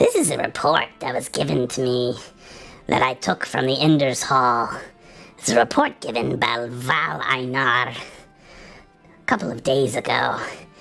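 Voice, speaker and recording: Faint music plays in the background as someone performs a put-on character voice at a low-to-middle pitch and a moderate pace. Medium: actual play.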